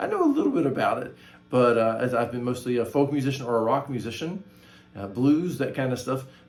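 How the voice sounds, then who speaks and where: A man at a medium pitch talks at a fairly quick pace, with audible room echo and noticeable background noise. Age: 60s. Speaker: guitar teacher and channel host. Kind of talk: tutorial. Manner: casual, hesitant with many fillers.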